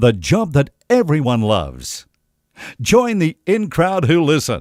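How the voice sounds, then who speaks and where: Vocal fry and very wide pitch swings mark this voice, captured with a dry, close sound with no echo on a very clean recording with a silent background. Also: man. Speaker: radio voice-over artist. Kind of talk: radio promo read with joking ad-libs. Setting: studio. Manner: cheeky, playful.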